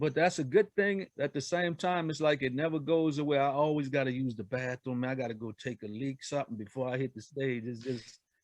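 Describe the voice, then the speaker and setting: A man with a New Orleans accent talks at a fairly quick pace, with hardly any pauses. His medium pitch varies in an ordinary way, and the sound is dry and close with no echo. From New Orleans, Louisiana; raised partly in Indianapolis. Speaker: R&B singer and songwriter. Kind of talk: casual interview chat.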